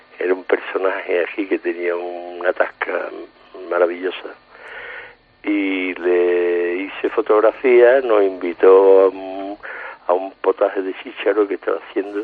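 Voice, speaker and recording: A man's very deep, low voice, monotone and flat, at a very slow pace over noticeable background noise. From Seville, Andalusia. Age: 70s. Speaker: painter and album cover artist. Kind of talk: casual interview. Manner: halting, repeats words.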